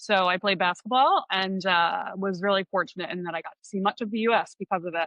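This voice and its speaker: A woman in an American accent talks at a fairly quick pace with a medium pitch and ordinary pitch variation. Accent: Philadelphia accent, occasional. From Philadelphia area, Delaware County, US. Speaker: business consultant. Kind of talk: podcast interview.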